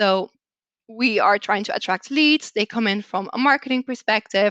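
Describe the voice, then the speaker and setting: A woman with a Belgian accent speaks in a fairly high voice with a bright, sharp tone and ordinary pitch variation, recorded dry and close with no echo against a quiet background. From Belgium. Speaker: customer success manager. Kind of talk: presentation.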